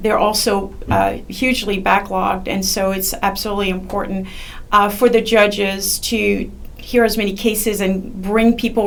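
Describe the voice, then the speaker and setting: With a French accent, a woman speaks at a medium pitch in a monotone, flat intonation, amid noticeable background noise and audible room echo. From France. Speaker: judicial candidate, attorney. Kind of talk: interview. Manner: halting, many fillers.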